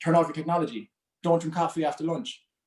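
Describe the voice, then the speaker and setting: A man is speaking. He has an Irish accent. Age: 30s. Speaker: mental health speaker and coach. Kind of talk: talk to a group. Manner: fast.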